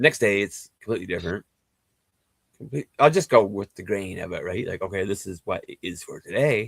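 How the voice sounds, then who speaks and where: An unremarkable speaking voice from a man, fairly low in pitch and at a fairly quick pace with ordinary pitch variation. The sound is dry and close with no echo, and his loudness swings a lot. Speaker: spiritual healer. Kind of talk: casual chat. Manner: rambling fast speech with many fillers.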